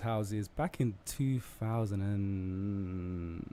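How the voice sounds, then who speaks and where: Speaking in a London accent, this man has a fairly low pitch. His tone is dark and mellow, and his intonation is fairly even. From Southeast London. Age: 30s. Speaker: radio guest, former X Factor contestant. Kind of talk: radio interview.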